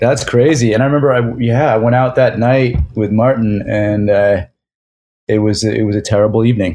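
In a dark, mellow voice of medium pitch, a man speaks with ordinary pitch variation and very even loudness. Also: moderate pace. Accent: American. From suburban Philadelphia. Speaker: filmmaker. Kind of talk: casual interview chat.

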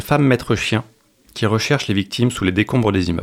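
At a fairly quick pace, a man talks with a medium pitch and ordinary pitch variation. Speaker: French teacher volunteer. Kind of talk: radio interview. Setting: studio. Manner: halting.

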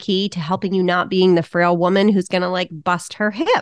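The speaker has a normal speaking voice. The intonation stays fairly even. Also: woman. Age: 50s. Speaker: fitness coach for women over 40. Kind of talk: interview. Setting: remote call.

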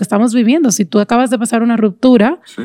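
A woman with a fairly high pitch and a dark, mellow tone talks at a very fast pace in a dry, close sound with no echo. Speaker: podcast host. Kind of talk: casual chat.

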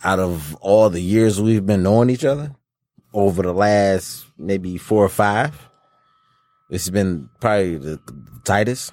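A man's unremarkable speaking voice, fairly low in pitch, with ordinary pitch variation, big swings in loudness and a fairly slow pace. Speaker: co-host. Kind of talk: casual chat.

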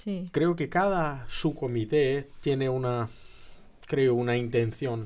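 This man talks at a very slow pace. His voice sits at a medium pitch with ordinary pitch variation. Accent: Brazilian. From Brazil. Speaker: graduate student and commission member. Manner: halting.

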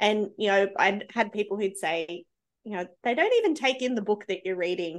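In an Australian accent, a woman speaks at a medium pitch and a moderate pace. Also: ordinary pitch variation. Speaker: early childhood educator. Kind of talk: casual chat.

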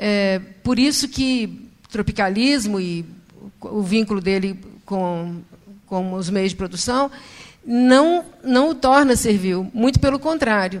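At a very slow pace, a woman speaks with lively intonation and a medium pitch. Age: 60s. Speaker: audience member asking a question. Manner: emotional.

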